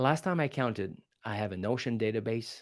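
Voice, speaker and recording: With a French accent, a man speaks at a medium pitch in an animated tone against a quiet background. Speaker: public speaking coach. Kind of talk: podcast interview. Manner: animated, fast.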